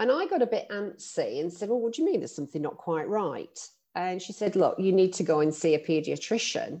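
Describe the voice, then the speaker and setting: Her intonation is lively. The woman's tone is dark and mellow. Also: medium pitch for a woman, fairly quick pace. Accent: London. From London, England. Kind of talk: casual interview chat.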